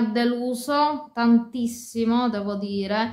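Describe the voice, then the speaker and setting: A woman speaks at a very slow pace in a high voice. Music plays in the background. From Sicily. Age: 30s. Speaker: fashion and beauty YouTuber. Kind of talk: casual talk to camera. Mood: disappointed complaint. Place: home room. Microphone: phone near.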